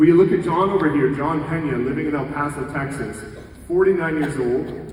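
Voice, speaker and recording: A man talks at a fairly quick pace with ordinary pitch variation, audible room echo and noticeable background noise around him. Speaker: real estate coach and keynote speaker. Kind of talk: conference keynote talk. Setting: stage with audience. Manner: fast; energetic.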